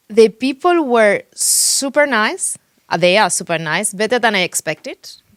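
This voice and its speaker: With a strong Spanish accent, a woman talks at a moderate pace in a fairly high pitch with very wide pitch swings, the sound dry and close with no echo. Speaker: real estate agent. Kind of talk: interview. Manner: halting.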